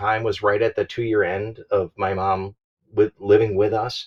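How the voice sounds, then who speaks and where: A man's somewhat breathy, fairly low-pitched voice in a flat monotone. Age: 60s. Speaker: full-time RV traveler and YouTuber. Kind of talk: casual podcast interview.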